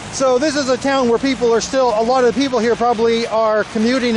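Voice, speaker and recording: With noticeable background noise, a man speaks very fast in an extremely high, flat, monotone voice. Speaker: travel vlogger. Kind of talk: walking tour vlog narration. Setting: outdoors in the rain.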